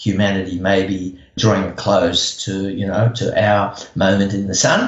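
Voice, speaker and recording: The man's voice is fairly low in pitch and somewhat breathy. Audible room echo surrounds it. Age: 70s. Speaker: environmental activist. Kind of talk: interview. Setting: podcast. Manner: hesitant, many fillers.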